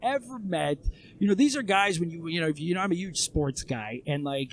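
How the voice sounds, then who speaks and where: A man speaks at a fairly high pitch. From Toronto, Canada, then Israel from age 9. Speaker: emergency first responder, guest. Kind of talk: casual podcast interview. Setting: seated in person, building work nearby.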